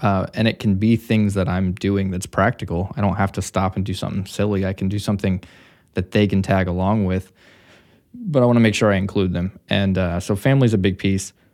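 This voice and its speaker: This man speaks at a fairly quick pace in an unremarkable speaking voice, pitched fairly low. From Missouri. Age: 30s. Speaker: entrepreneur. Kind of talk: casual interview.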